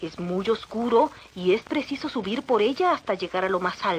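The text is read aloud in a natural voice, its intonation lively.

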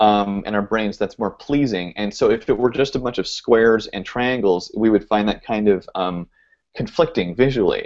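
With an American accent, a man speaks at a moderate pace in an unremarkable speaking voice with ordinary pitch variation. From US South, suburban Georgia. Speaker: video podcast host. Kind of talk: casual chat.

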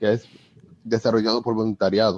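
This is a man speaking at a medium pitch. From Dominican Republic. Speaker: software developer. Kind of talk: live online panel discussion. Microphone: phone mic picking up host's audio.

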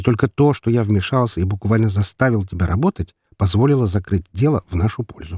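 The clip features a natural reading voice. Its background is quiet.

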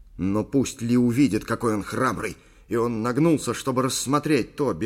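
Reading in an unforced voice, pitch varying in an ordinary way

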